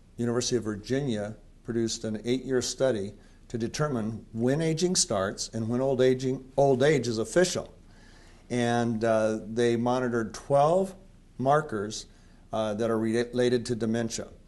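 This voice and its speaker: A man speaks at medium pitch and a moderate pace with ordinary pitch variation. He has an ordinary speaking voice. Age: 60s. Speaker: company founder and interviewer. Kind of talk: promotional interview.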